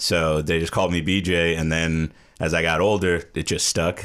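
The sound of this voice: Speaking with an American accent, a man with a low pitch and a clear, smooth tone keeps his pitch movement small. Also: moderate pace.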